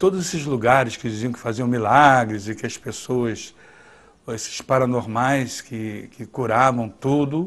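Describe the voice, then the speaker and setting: A man with a medium pitch and ordinary pitch variation speaks at a fairly slow pace, his loudness swinging widely. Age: 50s. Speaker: documentary interviewee. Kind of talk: testimony. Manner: halting.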